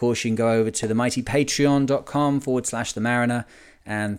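A man with a northern English accent, a medium pitch and fairly even intonation at a moderate pace, on a very clean recording with a silent background. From Lancashire, England. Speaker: sailing podcast host. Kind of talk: casual podcast monologue.

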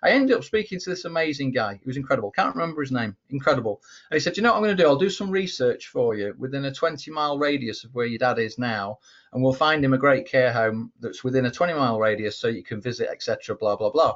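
A man with an English accent talks at a very fast pace in a fairly high pitch, his intonation lively. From England. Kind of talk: casual chat.

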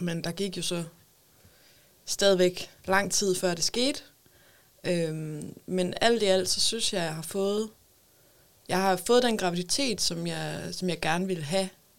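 Pausing long and often, a woman speaks at a medium pitch with ordinary pitch variation. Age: 20s. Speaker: mother with a psychiatric diagnosis. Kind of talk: casual chat. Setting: studio.

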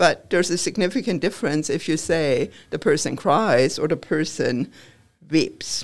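A woman speaks at a fairly low pitch and a moderate pace with lively intonation. The recording is very clean with a silent background. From Germany. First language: German. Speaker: professor. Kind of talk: interview.

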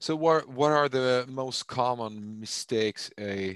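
A man speaks with a Swedish accent and ordinary pitch variation. The sound is dry and close, with no echo. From Sweden. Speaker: podcast host and managing director. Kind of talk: interview. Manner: halting with fillers.

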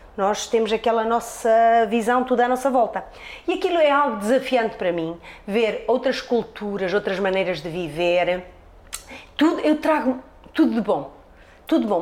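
With noticeable background noise, a woman talks in an animated tone, her fairly high pitch moving in very wide swings. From Portugal, Trás-os-Montes. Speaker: hairdresser. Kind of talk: interview.

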